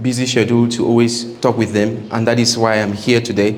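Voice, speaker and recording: A man at medium pitch, with audible room echo and noticeable background noise. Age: 30s. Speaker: engineering company owner and guest speaker. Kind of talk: seminar talk to students.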